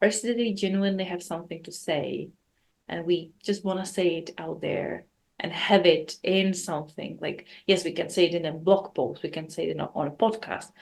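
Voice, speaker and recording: A woman speaks at a fairly quick pace and fairly low pitch with vocal fry. Her intonation stays fairly even. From South Africa. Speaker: podcast host. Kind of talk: casual chat.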